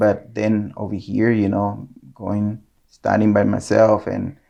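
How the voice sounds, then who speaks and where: A man's fairly low, dark, mellow voice in a Nicaraguan accent at a fairly slow pace. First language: Spanish. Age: 40s. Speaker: photographer. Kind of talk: casual interview. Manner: hesitant, many fillers.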